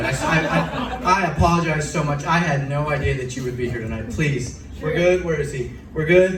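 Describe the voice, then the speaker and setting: A voice at a moderate pace with ordinary pitch variation and hardly any pauses is heard over noticeable background noise. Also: man, fairly high pitch for a man. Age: young. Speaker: amateur stand-up comedian. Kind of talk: live stand-up comedy set. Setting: live venue with audience.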